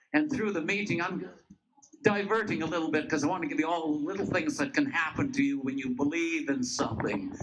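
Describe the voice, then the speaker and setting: Very wide pitch swings mark this fairly quick speech, heard with audible room echo. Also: man, high pitch for a man. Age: 80s+. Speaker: rally speaker, retired personal trainer. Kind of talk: public speech at rally. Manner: halting, many fillers.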